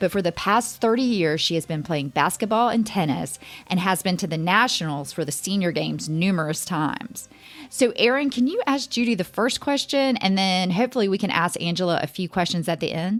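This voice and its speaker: This is a plain, everyday voice. It moves at a fairly quick pace with lively intonation. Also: woman, medium pitch for a woman. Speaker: podcast host. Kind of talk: podcast interview question.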